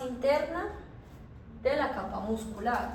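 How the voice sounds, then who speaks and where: A woman with a high pitch talks at a very slow pace. Noticeable background noise and audible room echo are present. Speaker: university lecturer. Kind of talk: lecture.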